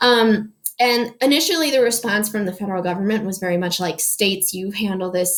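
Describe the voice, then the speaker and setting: Ordinary pitch variation in a woman's voice of medium pitch. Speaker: high school history teacher. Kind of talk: lecture. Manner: fast; casual, filler-heavy.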